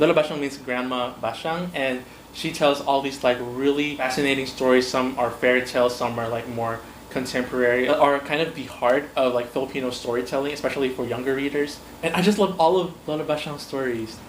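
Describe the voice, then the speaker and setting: A man with a medium-pitched voice talks at a fairly quick pace amid noticeable background noise and audible room echo. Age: 20s. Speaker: book vlogger. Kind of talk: casual chat. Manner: animated.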